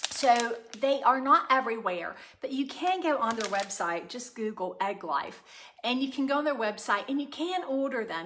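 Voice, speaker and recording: Noticeable background noise behind a fairly quick, high-pitched female voice. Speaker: cooking channel host. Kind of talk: live stream chat and cooking demo. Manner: loud; casual with many fillers.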